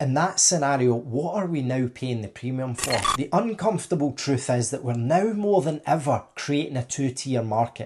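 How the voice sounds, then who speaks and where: With a Scottish accent, a somewhat breathy man speaks with lively intonation and hardly any pauses over a quiet background. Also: moderate pace. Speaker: tech contracting business owner. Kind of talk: opinion monologue to camera.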